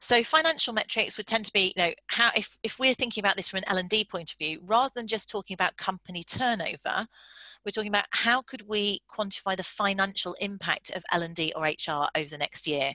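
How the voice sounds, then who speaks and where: A woman with a British accent, bright and sharp in tone, medium in pitch, fairly quick and lively in delivery, against a quiet background. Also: dry, close sound with no echo. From UK. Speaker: business founder and psychologist. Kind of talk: webinar presentation. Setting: online video call. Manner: fast talker.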